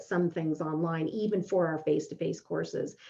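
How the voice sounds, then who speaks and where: A woman's fairly low voice against noticeable background noise. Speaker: professor. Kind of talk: webinar Q&A. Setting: online webinar. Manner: fast.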